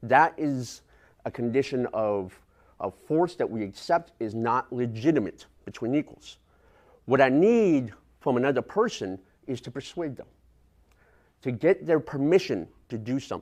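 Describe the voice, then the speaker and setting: Against a quiet background, a man of medium pitch talks at a moderate pace with lively intonation, big swings in loudness, and long, frequent pauses. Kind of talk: lecture.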